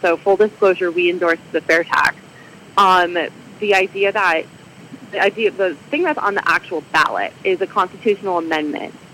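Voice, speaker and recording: A plain, everyday voice from a woman with an American accent, medium-pitched and fairly quick in pace. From Michigan. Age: 30s. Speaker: civic group president and librarian. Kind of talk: radio interview.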